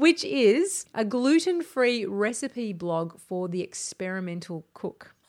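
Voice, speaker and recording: In an Australian accent, the speech is very slow, with hardly any pauses and very wide pitch swings, on a very clean recording with a silent background. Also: woman, fairly high pitch for a woman. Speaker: podcast host, broadcaster and writer. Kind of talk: casual chat. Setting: home studio.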